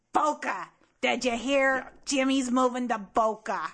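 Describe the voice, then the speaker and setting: Putting on a character voice, a woman speaks at a high pitch and a moderate pace. The sound is raspy and gravelly. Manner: gossipy.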